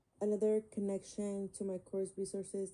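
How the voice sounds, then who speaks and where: With a Spanish accent, a woman speaks at a moderate pace. Her voice is medium in pitch and dark and mellow in tone. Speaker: student. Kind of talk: class presentation. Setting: screen recording. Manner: halting, many fillers.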